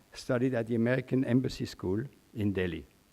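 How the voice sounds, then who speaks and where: A man with a Swiss accent talks at a fairly quick pace in a dark, mellow tone. His pitch varies in an ordinary way. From Switzerland. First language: German. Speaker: journalist and former diplomat, guest speaker. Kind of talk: commencement speech. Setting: stage with audience.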